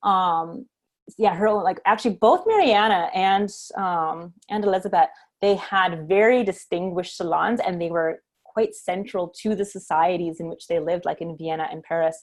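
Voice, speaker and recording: A woman with a Canadian accent speaks at a medium pitch. Her pace is moderate and her intonation fairly even. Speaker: composer and music history teacher. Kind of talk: online class Q&A. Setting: live stream video class. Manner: hesitant, many fillers.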